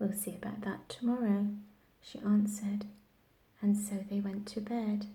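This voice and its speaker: Soft-spoken and somewhat breathy, a woman with a dark, mellow tone and medium pitch speaks at a moderate pace in a monotone, flat intonation, with long, frequent pauses. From England. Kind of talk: bedtime story reading.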